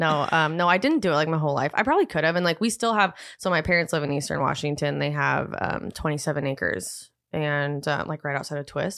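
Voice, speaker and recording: Speaking very fast, a woman with a very deep, low voice and vocal fry uses ordinary pitch variation. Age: 20s. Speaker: hairstylist and educator. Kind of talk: casual chat.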